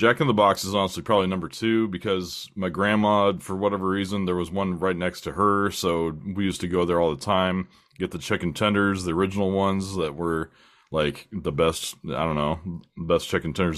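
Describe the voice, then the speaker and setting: Someone speaks at a fairly quick pace with an American accent. The recording is very clean, with a silent background. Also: man. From US West Coast (San Diego County, California). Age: 40s. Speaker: podcast host. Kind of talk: casual chat.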